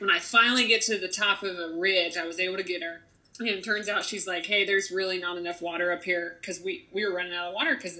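Amid noticeable background noise, a woman talks at a very fast pace with hardly any pauses. Her voice sits at a medium pitch with fairly even intonation. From Ohio, rural small town. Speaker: magazine editor. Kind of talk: casual interview chat.

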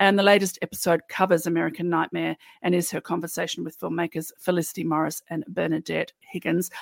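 Very fast and in a monotone, flat intonation, a woman speaks with a fairly low pitch and vocal fry, the sound dry and close with no echo. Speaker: podcast co-host. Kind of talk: casual chat.

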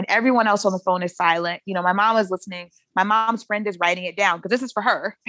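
An American-accented woman talks at medium pitch with ordinary pitch variation, in an unremarkable speaking voice. The sound is dry and close, with no echo. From US South, Shreveport, Louisiana. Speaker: poet and writer. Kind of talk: interview conversation. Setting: podcast interview.

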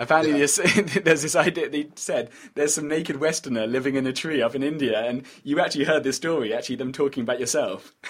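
A man races along at a very fast pace, his fairly high voice showing ordinary pitch variation. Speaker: podcast host. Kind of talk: casual interview conversation.

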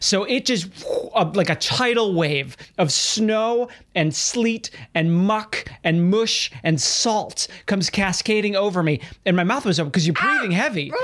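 A man's high, animated voice with lively intonation, very even loudness and a fairly slow pace, over noticeable background noise. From Chicago, US Midwest. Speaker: podcast host. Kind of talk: comedic monologue; casual chat.

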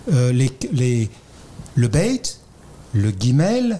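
This man's voice sits at a medium pitch, with a dark, mellow tone and a somewhat breathy edge. He speaks very slowly while his pitch swings very widely. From France. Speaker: Kabbalah scholar, freemason. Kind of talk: explanatory discussion. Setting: in front of a live audience.

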